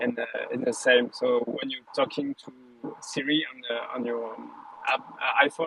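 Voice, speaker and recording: A man speaks over noticeable background noise. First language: not English. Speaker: audience member in live audio room. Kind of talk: casual chat. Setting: online audio room. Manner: halting, many fillers.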